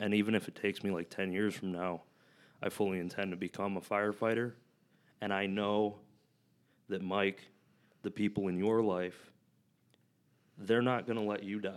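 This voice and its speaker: At a moderate pace and with long, frequent pauses, the speaker uses a monotone, flat intonation in an American accent on a very clean recording with a silent background. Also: man, fairly low pitch for a man. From US Midwest, Flint, Michigan. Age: 20s. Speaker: powerlifter and coach. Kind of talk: casual chat.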